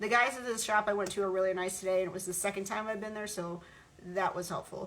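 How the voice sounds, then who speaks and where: A woman with a medium-pitched voice talks while noticeable background noise carries on. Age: 40s. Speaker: vlogger. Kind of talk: casual monologue vlog. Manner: halting, many fillers and repeats.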